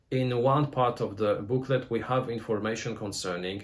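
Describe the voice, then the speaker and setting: A man's medium-pitched, somewhat breathy voice at a moderate pace, with ordinary pitch variation. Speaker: board game reviewer. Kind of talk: review. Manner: halting.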